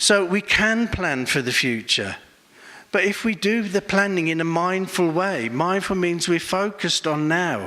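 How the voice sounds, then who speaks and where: A man with an English accent speaks at a fairly slow pace in a high pitch with ordinary pitch variation. His loudness stays very even. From England. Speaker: Buddhist monk and meditation teacher. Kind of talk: conference talk.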